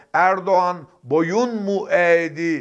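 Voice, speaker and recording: Over a quiet background, a man talks at a very slow pace. His pitch is high, with ordinary variation. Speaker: political commentator. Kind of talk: political commentary monologue. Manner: emphatic.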